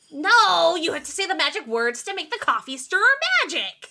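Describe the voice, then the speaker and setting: A female-sounding voice does a put-on character at an extremely high pitch. The pace is fairly quick. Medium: actual play. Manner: halting, slightly robotic.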